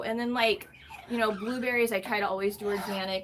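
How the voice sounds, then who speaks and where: At a fairly quick pace, a woman with a plain, everyday voice speaks at a fairly high pitch with ordinary pitch variation. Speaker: parrot rescue channel host. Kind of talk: live stream chat with viewers. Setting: live stream from bird room.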